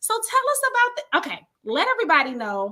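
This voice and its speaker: Projecting a raised voice, a woman with an American accent talks at a fairly quick pace in an animated, bright, sharp tone. Her pitch swings very widely. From Detroit, Michigan. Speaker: live show host, entrepreneur. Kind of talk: casual interview on livestream.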